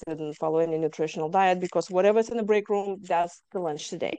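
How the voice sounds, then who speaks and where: With a slight Lithuanian accent, a woman speaks at medium pitch in a dark, mellow tone with ordinary pitch variation. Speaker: trauma survivor guest. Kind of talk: interview testimony.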